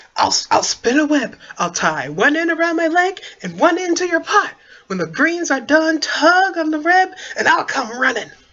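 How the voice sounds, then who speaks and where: Put-on character voice, high in pitch, at a moderate pace. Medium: read story. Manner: eager, scheming.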